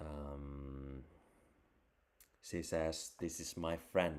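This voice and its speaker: The man's voice is very deep and low. His intonation is monotone and flat. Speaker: crypto and photography livestreamer. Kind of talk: casual solo livestream chat. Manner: mumbling; halting, repetitive.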